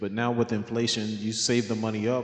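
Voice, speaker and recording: A man's medium-pitched voice at a fairly quick pace, with noticeable background noise. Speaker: finance video creator. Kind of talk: casual explainer talk. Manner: loud; hesitant, many fillers.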